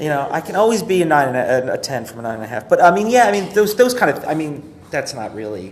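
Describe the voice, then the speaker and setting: A man's fairly high voice at a very fast pace with hardly any pauses, very wide pitch swings and big swings in loudness, over noticeable background noise. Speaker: livestreamer giving app feedback. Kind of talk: casual product feedback chat. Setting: live stream. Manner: halting, many fillers.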